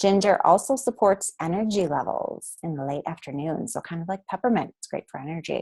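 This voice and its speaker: With an unremarkable speaking voice, a woman at medium pitch talks at a moderate pace with lively intonation against a quiet background. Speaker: essential oils educator. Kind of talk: webinar presentation. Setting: recorded webinar.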